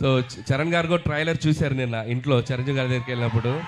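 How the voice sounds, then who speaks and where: A man's fairly high voice, varying in pitch in an ordinary way, comes through noticeable background noise. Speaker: film director. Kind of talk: public speech at film trailer launch event. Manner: energetic, enthusiastic.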